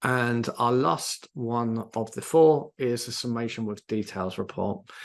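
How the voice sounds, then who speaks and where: The background is quiet as a man talks at a medium pitch. His intonation stays fairly even. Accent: British. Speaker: CRM software consultant presenting a webinar. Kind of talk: live software tutorial webinar. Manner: hesitant, many fillers.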